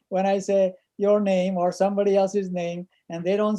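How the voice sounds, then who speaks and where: This man's high-pitched voice has a dark, mellow tone and a monotone, flat intonation. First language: not English. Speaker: chemistry professor. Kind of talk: online class discussion.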